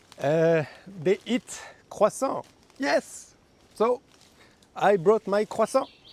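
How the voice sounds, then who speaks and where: A man's high-pitched voice with lively intonation at a very slow pace, long, frequent pauses, and a dry, close sound with no echo. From France. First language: French. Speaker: plant explorer vlogger. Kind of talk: casual vlog narration. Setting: outdoors in jungle. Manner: playful, humorous.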